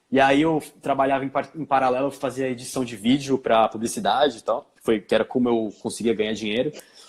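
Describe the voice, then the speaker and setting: Hardly pausing at all, a man of medium pitch moves at a fairly quick pace with ordinary pitch variation. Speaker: filmmaker and actor. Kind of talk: interview. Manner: fast.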